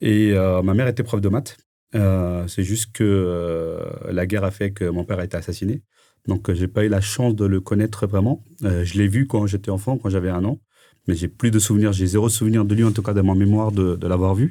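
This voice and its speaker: A dark, mellow tone with fairly even intonation at a moderate pace, in a very clean recording with a silent background. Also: man. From France, Paris (18th arrondissement). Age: 40s. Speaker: entrepreneur. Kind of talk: interview. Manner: halting, many fillers.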